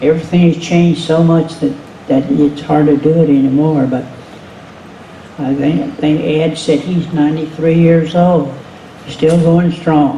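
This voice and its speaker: At a fairly slow pace, a man talks in a fairly high pitch, with audible room echo and noticeable background noise. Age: 80s+. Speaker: retired drag racer. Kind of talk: panel talk. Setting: museum panel with audience. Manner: halting.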